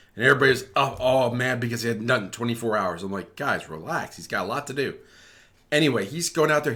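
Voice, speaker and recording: Lively intonation runs through this man's medium-pitched voice. His tone is bright and sharp, on a very clean recording with a silent background. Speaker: crypto and economics YouTuber. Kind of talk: casual video commentary. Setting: screen-share video recording. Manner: fast; halting, self-correcting.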